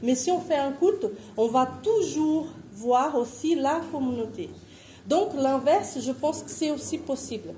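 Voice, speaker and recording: A woman with a Portuguese accent speaks very slowly at a high pitch, her intonation lively, with audible room echo. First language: Portuguese (speaking French). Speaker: missionary. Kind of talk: conference presentation.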